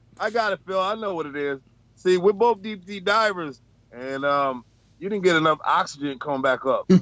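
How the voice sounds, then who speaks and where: A man speaks at a high pitch with a New York accent. His intonation is lively and his pace moderate. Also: dry sound with no echo. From Bronx, New York. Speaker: truck driver; panelist. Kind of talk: casual chat. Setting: video call from his truck. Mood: candid, animated. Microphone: video call.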